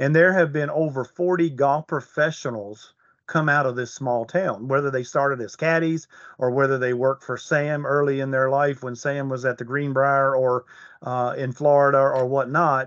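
With an American accent, a man speaks in a plain, everyday voice, fairly high in pitch, at a moderate pace with fairly even intonation. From Virginia (Allegheny Mountains, Hot Springs area). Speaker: golf resort director of golf. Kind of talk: casual interview.

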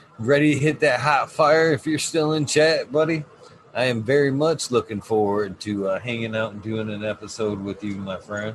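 At a moderate pace, a man speaks with ordinary pitch variation against noticeable background noise. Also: medium pitch for a man. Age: 40s. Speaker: cannabis podcast host. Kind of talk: casual chat. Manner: animated.

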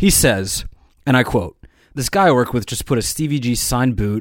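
Talking at a fairly quick pace, a man uses an unremarkable speaking voice of medium pitch. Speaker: podcast co-host. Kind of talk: casual banter.

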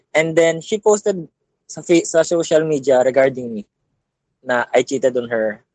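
A man with a Filipino accent is heard in a dry, close recording with no echo. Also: long, frequent pauses. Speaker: caller. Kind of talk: advice call-in.

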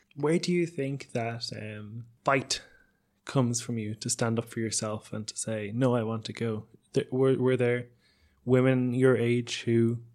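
A man with an Irish accent, medium pitch, fairly even intonation and a moderate pace. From Ireland. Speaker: radio documentary host. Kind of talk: interview. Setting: radio studio.

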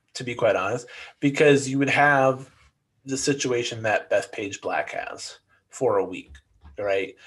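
A man's ordinary speaking voice at medium pitch, fairly slow in pace, with ordinary pitch variation and a quiet background. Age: 30s. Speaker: golf podcast co-host. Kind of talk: casual chat.

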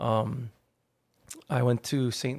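A man at medium pitch with a Hawaiian accent and ordinary pitch variation. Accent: Hawaii local English. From Hawaii, Hawaii Kai on Oahu. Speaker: artist manager and agency co-founder. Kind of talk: casual interview chat. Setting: studio.

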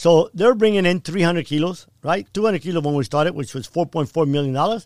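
A man speaks at a fairly quick pace with lively intonation and a high pitch for a man. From Cuba, raised in Miami from age ten. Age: 60s. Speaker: former drug trafficker, speaker. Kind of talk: interview. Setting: studio.

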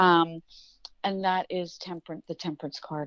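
In a dry, close sound with no echo and a quiet background, a woman with an American accent speaks at a fairly low pitch with ordinary pitch variation. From New York. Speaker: tarot reader. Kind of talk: casual chat.

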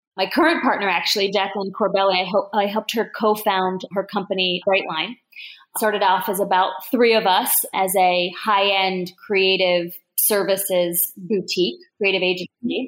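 A woman with an American accent has an unremarkable speaking voice of medium pitch, moving at a moderate pace with fairly even intonation and very even loudness. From US Mid-Atlantic (Newark, Delaware). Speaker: tech executive. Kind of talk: interview.

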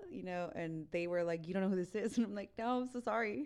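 In an American accent, a woman speaks with an unremarkable speaking voice, medium in pitch with ordinary pitch variation. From Texas, Eagle Pass. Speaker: singer. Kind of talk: casual chat.

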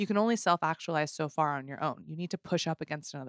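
On a very clean recording with a silent background, a woman with a very deep, low pitch and ordinary pitch variation talks at a very fast pace in a dry, close sound with no echo. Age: 40s. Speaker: podcast host. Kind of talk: casual interview chat.

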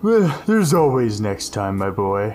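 A man uses a put-on character voice at medium pitch. He keeps a moderate pace. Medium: actual play.

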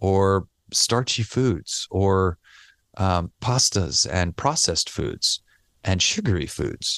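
A man with a very deep, low voice and an American accent speaks with ordinary pitch variation, in a dry, close sound with no echo against a quiet background. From New York. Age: 40s. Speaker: relaxation expert and sound therapy practitioner. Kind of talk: interview, casual chat.

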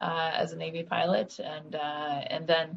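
The woman's voice sounds somewhat breathy. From Florida, Orlando. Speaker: state senator, nurse practitioner, navy veteran. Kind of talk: interview.

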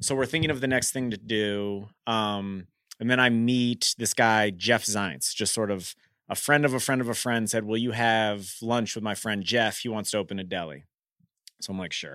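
The recording is very clean, with a silent background. A man speaks in a bright, sharp tone with ordinary pitch variation. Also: fairly low pitch for a man, moderate pace. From US, Washington DC. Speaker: restaurant founder. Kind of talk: interview. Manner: casual.

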